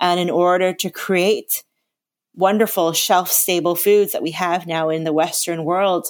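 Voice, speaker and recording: Speaking with a slight Canadian accent, a woman keeps a fairly slow pace. Her pitch is fairly low and her intonation monotone and flat. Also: very clean recording, silent background. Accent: Canadian, slight, living in London. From Canada. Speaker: natural chef. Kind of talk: casual interview.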